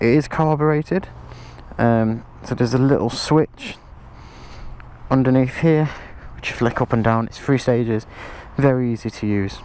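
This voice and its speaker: The speaker talks with an English accent at a moderate pace. Long, frequent pauses break up the speech. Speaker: motorbike rider. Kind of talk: product review to camera. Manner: casual.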